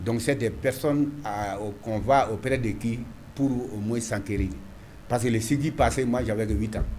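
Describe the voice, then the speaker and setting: In a room with audible echo, a somewhat breathy man speaks at a moderate pace and medium pitch with ordinary pitch variation. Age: 60s. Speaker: mayor. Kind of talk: interview. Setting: TV studio. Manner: halting, repetitive.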